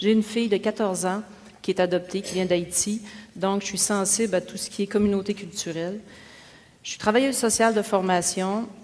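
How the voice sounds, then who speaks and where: The speech moves at a fairly quick pace with flat, monotone intonation. Its loudness swings widely. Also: woman, medium pitch for a woman. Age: 40s. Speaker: mayoral candidate, social worker. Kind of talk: debate opening statement. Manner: casual, hesitant fillers.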